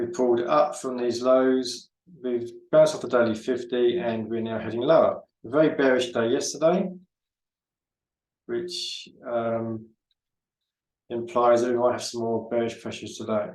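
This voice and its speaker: Audible room echo surrounds a man of medium pitch who talks at a moderate pace with ordinary pitch variation and long, frequent pauses. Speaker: forex trader and market analyst. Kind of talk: trading tutorial. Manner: halting, many fillers and repeats.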